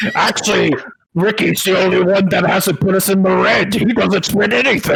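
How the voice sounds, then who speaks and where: A put-on character voice from a man, high in pitch. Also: moderate pace. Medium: actual play. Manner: fussy, officious.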